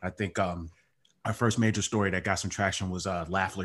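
A man's very deep, low voice with an American accent, ordinary pitch variation and a quiet background. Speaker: beer writer and podcaster. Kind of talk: casual chat.

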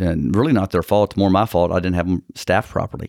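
A man with a very deep, low voice and a Texan accent speaks with fairly even intonation in a very clean recording with a silent background and a dry, close sound with no echo. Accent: Texan, noticeable. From Texas. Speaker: personal injury attorney. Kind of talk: casual interview chat.

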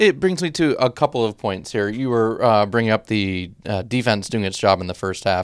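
A man's plain, everyday voice, medium in pitch, with lively intonation, a moderate pace and hardly any pauses, on a very clean recording with a silent background. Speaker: sports podcast host. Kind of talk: sports recap discussion.

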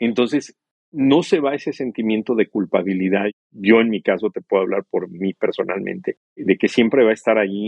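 A man talks in a normal speaking voice at a moderate pace. His pitch is medium for a man, with ordinary pitch variation. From Mexico. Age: 50s. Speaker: TV journalist, bereaved father. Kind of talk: interview, personal testimony.

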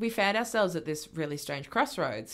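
In a very clean recording with a silent background, a woman with an Australian accent speaks with lively intonation. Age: 20s. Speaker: union organiser and activist. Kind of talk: casual chat.

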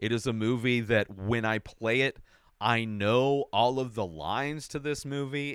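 Here is a man with a plain, everyday voice and an American accent, medium in pitch, at a moderate pace. The recording is very clean, with a silent background. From Southern California desert. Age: 40s. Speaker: podcast host, movie reviewer. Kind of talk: solo movie ranking monologue. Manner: casual, with filler words.

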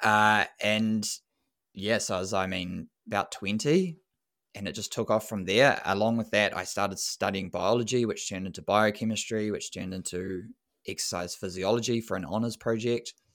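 A man with a New Zealand accent and fairly low pitch in a very clean recording with a silent background. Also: fairly even intonation, moderate pace. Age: 30s. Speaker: running coach and sports scientist. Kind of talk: casual interview.

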